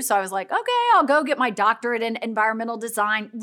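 Here a woman speaks with a Midwestern American accent. Her voice is bright and sharp, with fairly high pitch. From US Midwest, mid-Missouri. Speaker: nonprofit executive, former educator. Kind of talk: casual interview. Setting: in person, filmed live.

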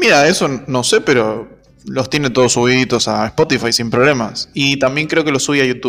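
A man with an Argentine accent talks at a moderate pace and medium pitch with ordinary pitch variation, music in the background. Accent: Argentine Spanish (Rioplatense). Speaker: podcast co-host. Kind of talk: casual chat.

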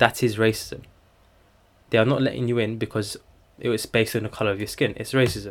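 The voice has vocal fry and a very fast pace, broken by long, frequent pauses. The recording is very clean, with a silent background. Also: man, medium pitch for a man, fairly even intonation. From England, Turkish family. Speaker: student podcaster. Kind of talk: casual solo chat.

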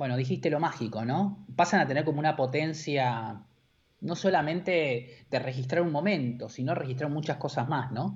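Speaking at a moderate pace in an Argentine accent, a man with a fairly high pitch sounds somewhat breathy and shows ordinary pitch variation. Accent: Rioplatense Argentine Spanish. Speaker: advertising creative director. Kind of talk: casual interview chat. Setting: live-streamed video call.

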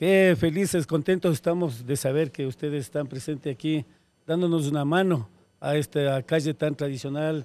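A man in an ordinary speaking voice, fairly high-pitched with ordinary pitch variation, at a moderate pace, the sound dry and close with no echo in a very clean recording with a silent background. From Ecuador, Quito. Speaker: neighborhood leader. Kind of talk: street interview.

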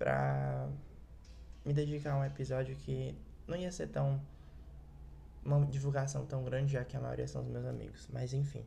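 With audible room echo around him, a man speaks at a moderate pace with long, frequent pauses. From Ceará, Brazil. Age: young. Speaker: podcast host. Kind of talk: solo podcast monologue.

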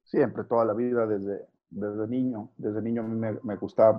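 Here a man speaks at medium pitch in a plain, everyday voice. His intonation stays fairly even. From northern Mexico, Saltillo. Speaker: sports journalist. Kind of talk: interview.

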